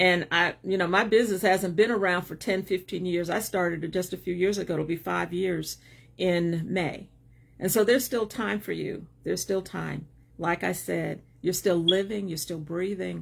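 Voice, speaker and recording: On a very clean recording with a silent background, a woman with a fairly low pitch and vocal fry speaks at a moderate pace with fairly even intonation. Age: 60s. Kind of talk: livestream talk. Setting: live video stream.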